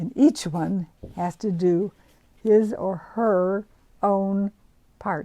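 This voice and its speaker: Her voice has a medium pitch for a woman and a dark, mellow tone. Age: 80s+. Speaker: children's book author and illustrator. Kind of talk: interview answer describing and reading from her books.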